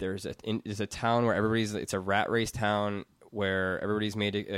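With a fairly low pitch and flat, monotone intonation, a man talks at a very fast pace. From US Midwest, Madison, Wisconsin. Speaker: podcast network founder and audio engineer. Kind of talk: casual interview chat. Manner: fast, halting with repetitions.

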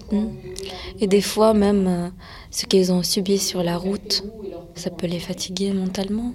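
A woman at medium pitch, calm in tone and very slow, with fairly even intonation and noticeable background noise. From France. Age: 20s. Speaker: interpreter at aid centre. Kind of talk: interview.

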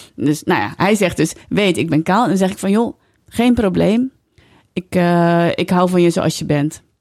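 A woman with an unremarkable speaking voice at a medium pitch, a fairly slow pace and ordinary pitch variation. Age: 40s. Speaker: author and broadcaster. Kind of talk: casual interview chat.

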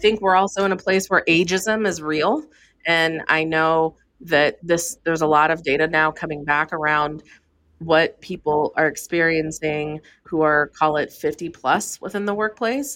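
A woman talks at a moderate pace, fairly low in pitch with ordinary pitch variation. Hers is a plain, everyday voice. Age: 40s. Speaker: beauty entrepreneur and investor. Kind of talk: interview.

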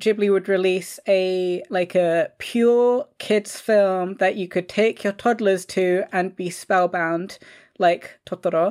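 A woman with a London accent at medium pitch, with fairly even intonation, on a very clean recording with a silent background. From London, England. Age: 20s. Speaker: podcast writer and creator. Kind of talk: casual chat.

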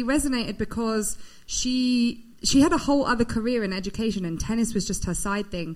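This woman has a British accent and a fairly high pitch, talking at a moderate pace with ordinary pitch variation as audible room echo surrounds her. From Britain. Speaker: women's sport platform founder. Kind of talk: live show introduction. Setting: stage with audience.

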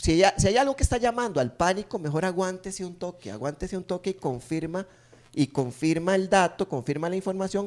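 A man with a Costa Rican accent talks at a fairly quick pace, high-pitched and with lively intonation. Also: very clean recording, silent background. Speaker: podcast co-host. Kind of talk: casual chat.

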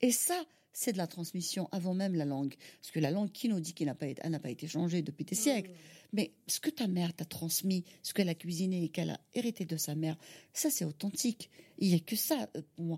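A woman with a fairly low pitch and a dark, mellow, somewhat breathy tone speaks at a fairly quick pace with lively intonation. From Algeria, Algiers. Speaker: caterer and mother. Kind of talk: interview testimony. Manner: halting, with repetitions.

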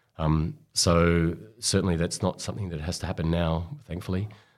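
With an Australian accent, the speech moves at a moderate pace with ordinary pitch variation in a very clean recording with a silent background. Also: man. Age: 50s. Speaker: sports doctor. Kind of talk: interview. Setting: studio. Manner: halting.

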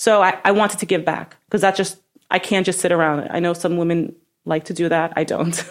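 With a New York accent, a woman speaks at a fairly quick pace. Her fairly low voice stays monotone and flat. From Brooklyn, New York. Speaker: real estate broker. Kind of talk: interview.

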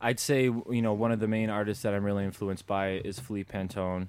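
Speaking with a Chicago accent, a man uses a fairly low pitch and a flat monotone at a fairly quick pace. The recording is very clean with a silent background. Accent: Chicago American. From US Midwest, Chicago. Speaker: street artist, painter. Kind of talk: interview.

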